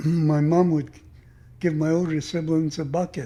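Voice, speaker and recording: His fairly high pitch carries a dark, mellow tone, delivered with monotone, flat intonation. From Squamish Nation, North Vancouver, British Columbia, Canada. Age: 80s+. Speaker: residential school survivor, retired longshoreman. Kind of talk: interview, personal life story. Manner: reflective, with frequent fillers.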